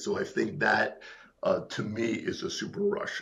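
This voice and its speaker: A man with a Rhode Island accent. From Rhode Island, US. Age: 60s. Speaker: business founder. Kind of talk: interview conversation.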